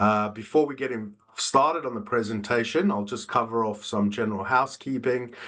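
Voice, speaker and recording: A bright, sharp tone in a South African accent, with ordinary pitch variation and a fairly quick pace. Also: man, medium pitch for a man. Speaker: business development manager. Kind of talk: webinar presentation. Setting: online webinar. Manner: frequent filler 'uh'.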